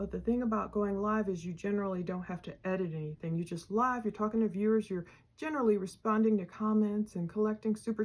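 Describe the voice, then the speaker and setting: A plain, everyday voice, female, at a fairly quick pace with ordinary pitch variation. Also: very clean recording, silent background. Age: 50s. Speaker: true crime YouTuber. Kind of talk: casual chat.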